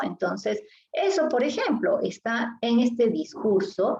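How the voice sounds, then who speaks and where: This woman's delivery is fairly slow. Her pitch rises and falls very widely. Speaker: literature teacher. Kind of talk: lecture.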